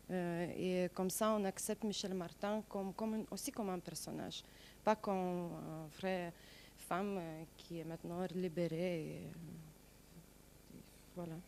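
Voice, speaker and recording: A woman with a non-native accent speaks at a very slow pace. Her pitch is fairly low and her intonation fairly even. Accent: noticeable foreign accent in French. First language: not French (speaking French). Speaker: stage actor. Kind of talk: interview. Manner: halting.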